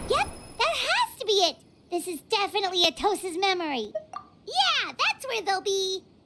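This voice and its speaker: In a put-on character voice, the speaker sounds squeaky and extremely high, going at a moderate pace. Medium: video game. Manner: excitable, loud.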